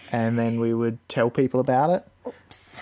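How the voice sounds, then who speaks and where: A man with a plain, everyday voice, at a medium pitch and a fairly slow pace. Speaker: father podcaster. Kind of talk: casual chat with child. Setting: home room with microphone.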